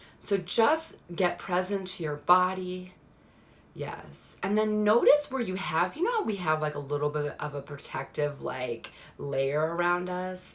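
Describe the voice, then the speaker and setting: A woman speaks at a fairly slow pace, her fairly low pitch varying in an ordinary way. Noticeable background noise is present. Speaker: spiritual card reader. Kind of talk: live stream card reading. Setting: live stream. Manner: slowed guided meditation.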